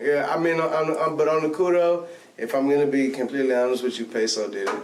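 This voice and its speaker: A man with an American accent at a very fast pace, fairly high in pitch with ordinary variation, amid audible room echo and noticeable background noise. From Texas, Bay City. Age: 20s. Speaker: rapper. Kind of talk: casual interview chat.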